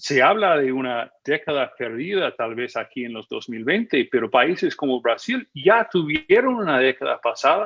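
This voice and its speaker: A man with a fairly high pitch, very wide pitch swings, big swings in loudness and hardly any pauses. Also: moderate pace. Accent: American. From United States. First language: English (speaking Spanish). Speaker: magazine editor and policy analyst. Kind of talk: TV news interview. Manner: hesitant, with many fillers.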